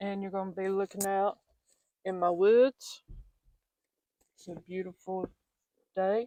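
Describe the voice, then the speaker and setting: A woman with a Southern US accent speaks at a fairly slow pace with long, frequent pauses, using a medium pitch and a dark, mellow tone. Her intonation is monotone and flat, but her loudness swings widely. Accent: Southern American. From Southern United States. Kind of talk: casual talk to camera. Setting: outdoors.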